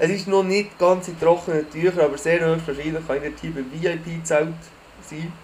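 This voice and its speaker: Moderate-paced speech over noticeable background noise. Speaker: podcast co-host. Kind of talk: casual chat.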